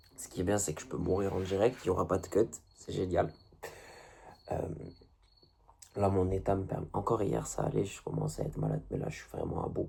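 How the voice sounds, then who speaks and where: This man's pitch is very deep and low, with vocal fry and ordinary variation. He leaves long, frequent pauses. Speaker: video blogger. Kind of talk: casual monologue to camera. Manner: halting.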